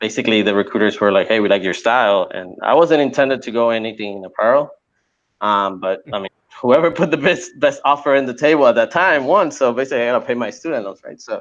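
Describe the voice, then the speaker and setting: With a Spanish accent, a man speaks at a fairly quick pace in a medium pitch with lively intonation. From Puerto Rico. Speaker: apparel illustrator and course creator. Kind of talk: podcast interview. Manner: casual, repetitive with fillers.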